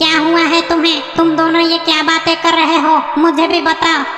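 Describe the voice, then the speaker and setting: A put-on character voice at an extremely high pitch, delivered at a moderate pace in a monotone, flat intonation. A clear echo surrounds it. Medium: fan dub. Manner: munching noises, sudden insults.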